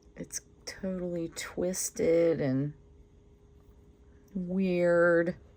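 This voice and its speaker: A woman speaks at a very slow pace with long, frequent pauses. Her voice is fairly low in pitch, with a dark, mellow tone. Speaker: resin crafter. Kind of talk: tutorial. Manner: casual, chatty with fillers.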